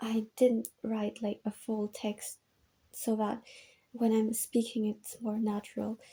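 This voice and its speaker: A woman with a non-native accent speaks at a very slow pace, somewhat breathy, with a dark, mellow tone. Her pitch is fairly high and her intonation monotone and flat. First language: not English. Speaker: gaming video essayist. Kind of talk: video essay commentary from notes. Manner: casual, many filler ums.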